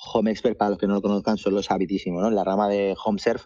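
The speaker is a man with a fairly low pitch. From Mallorca, Spain. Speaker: marketing and data executive. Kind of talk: interview.

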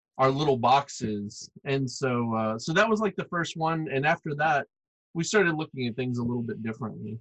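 In a plain, everyday voice, a man with an American accent talks at a moderate pace, his fairly high pitch moving with lively intonation, the sound dry and close with no echo. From US South, Arkansas. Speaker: comics publisher and artist. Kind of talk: casual interview.

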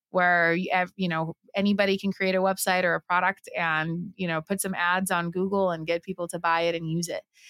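Fairly low-pitched, a woman talks at a fairly quick pace with hardly any pauses. Her intonation stays monotone and flat on a very clean recording with a silent background. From Puerto Rico. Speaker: filmmaker. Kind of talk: interview.

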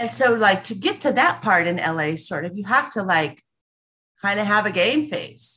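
A woman's medium-pitched voice with a bright, sharp tone, a West Coast US accent, very wide pitch swings and a moderate pace. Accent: General American, West Coast. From Los Angeles, US West Coast. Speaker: small business owner. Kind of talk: casual interview.

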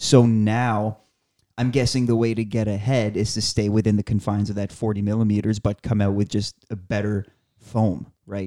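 The delivery is monotone and flat, at a moderate pace, with a dark, mellow tone. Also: man, fairly low pitch for a man. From Acadia, Atlantic Canada. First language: French. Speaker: running podcast co-host. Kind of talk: casual chat.

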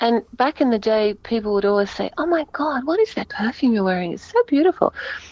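With noticeable background noise behind her, a woman speaks at a fairly quick pace in a fairly high pitch, her voice making very wide pitch swings. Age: 60s. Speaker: actress. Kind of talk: interview. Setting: phone call.

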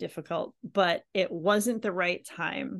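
Against a quiet background, a woman with an unremarkable speaking voice talks with lively intonation. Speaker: podcast host. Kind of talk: interview.

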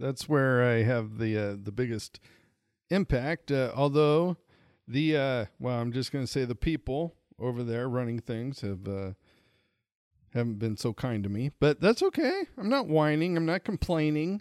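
An unremarkable speaking voice belongs to a man with an American accent, who talks at a moderate pace and medium pitch with lively intonation in a dry, close sound with no echo. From Montana. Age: 40s. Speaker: podcast host, comedian. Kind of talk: casual chat. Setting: home recording, sharing one mic.

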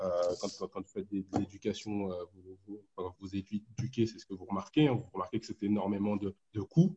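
A man speaks at a moderate pace in a fairly low, somewhat breathy voice. His tone is dark and mellow, his intonation fairly even. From Ivory Coast. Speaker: economics postdoctoral researcher. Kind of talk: explanatory group discussion. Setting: online group call.

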